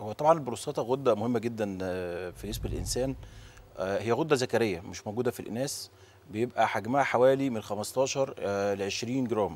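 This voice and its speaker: Moderate pace from a man, pitch varying in an ordinary way. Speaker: guest. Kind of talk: interview answer. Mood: calm explanatory. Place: studio. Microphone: lapel.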